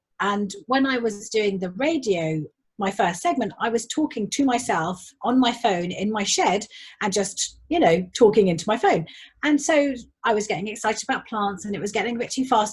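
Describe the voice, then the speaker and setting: Somewhat breathy, a woman with a fairly high pitch speaks with lively intonation. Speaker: garden designer and tutor. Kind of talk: casual chat. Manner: fast when excited.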